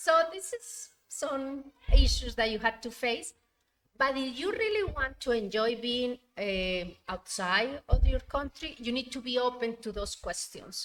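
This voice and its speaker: Speaking in a Spanish accent, a woman with a high pitch uses lively intonation at a fairly slow pace. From Colombia. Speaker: university administrator. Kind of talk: interview conversation.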